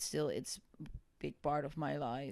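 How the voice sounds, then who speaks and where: A woman speaks at a moderate pace with a Dutch accent. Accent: Dutch, noticeable. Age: 30s. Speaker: singer and social psychologist. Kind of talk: casual chat.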